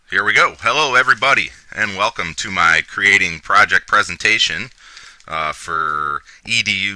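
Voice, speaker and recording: Noticeable background noise can be heard. Over it, a man talks at a moderate pace. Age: 30s. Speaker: student presenting a class project. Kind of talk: recorded presentation. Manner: hesitant, many fillers.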